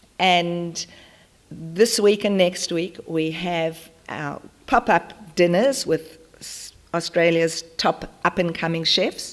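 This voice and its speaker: Very slowly, a woman with a South African accent speaks at a fairly low pitch, with ordinary pitch variation, big swings in loudness and noticeable background noise. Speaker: charity founder. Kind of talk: conference talk. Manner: animated.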